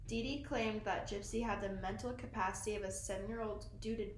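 At a fairly quick pace, a woman talks as noticeable background noise plays behind her. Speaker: podcast host. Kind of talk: casual chat. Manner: casual, giggly.

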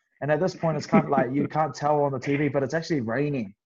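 A man speaks in a New Zealand accent. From New Zealand (Wellington). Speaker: professional rugby player. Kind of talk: casual chat.

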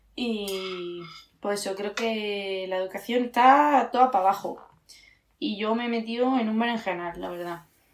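Speaking at a fairly slow pace, a woman uses a medium pitch with ordinary variation. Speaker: podcast co-host. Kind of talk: casual chat.

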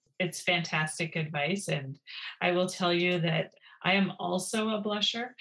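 An ordinary speaking voice in a Canadian accent, fairly slow, with very even loudness and ordinary pitch variation. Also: woman, fairly low pitch for a woman. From Ontario, Canada. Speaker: podcast host, military college graduate. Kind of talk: interview.

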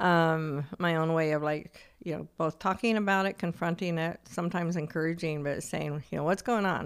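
A woman's unremarkable speaking voice, fairly low in pitch, fairly even in intonation, at a moderate pace with hardly any pauses, on a very clean recording with a silent background. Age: 60s. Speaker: podcast co-host. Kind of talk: casual chat.

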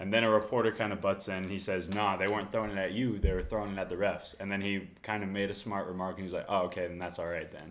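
Someone with an American accent speaks at a very fast pace in a monotone, flat way, with hardly any pauses. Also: man, fairly low pitch for a man. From Texas (Corpus Christi). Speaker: college tennis and pickleball player. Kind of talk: casual chat.

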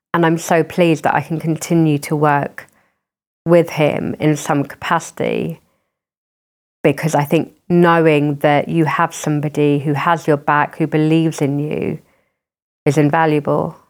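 Speaking in a South London accent at a moderate pace, a woman with a very deep, low pitch holds a monotone, flat intonation in a very clean recording with a silent background. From southern England, Croydon. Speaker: charity chief executive. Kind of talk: interview conversation. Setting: at home.

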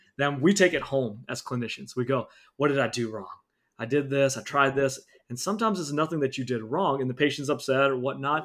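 A man with an ordinary speaking voice talks at a fairly quick pace, fairly high in pitch, with ordinary pitch variation. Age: 30s. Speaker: dentist and practice owner. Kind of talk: interview.

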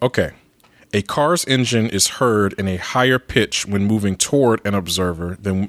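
A plain, everyday voice with ordinary pitch variation, moving at a moderate pace in a dry, close sound with no echo. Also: man. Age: 30s. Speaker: returning guest host. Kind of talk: casual chat.

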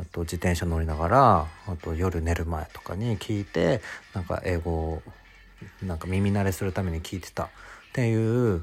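Music plays behind a man with a very deep, low voice. He speaks at a moderate pace with ordinary pitch variation. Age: 20s. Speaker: podcast host, office worker. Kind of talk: casual solo monologue. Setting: home. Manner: animated.

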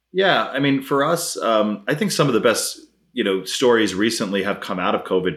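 A man with an American accent and an unremarkable speaking voice, at a fairly quick pace with ordinary pitch variation. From US Northeast, Brooklyn, New York. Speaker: tech startup CEO. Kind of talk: interview. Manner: casual.

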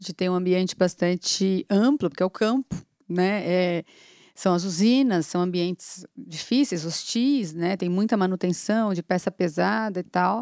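A woman with an unremarkable speaking voice speaks at a fairly slow pace and medium pitch with ordinary pitch variation, in a dry, close sound with no echo on a very clean recording with a silent background. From São Paulo city, Brazil. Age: 40s. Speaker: agribusiness executive. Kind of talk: casual interview.

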